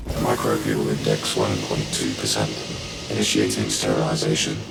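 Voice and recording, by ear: A put-on character voice with vocal fry and monotone, flat intonation at a moderate pace, over clear background music. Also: man, extremely low pitch for a man.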